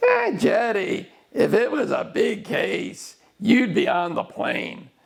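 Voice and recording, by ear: A man's put-on character voice, extremely high in pitch, at a fairly slow pace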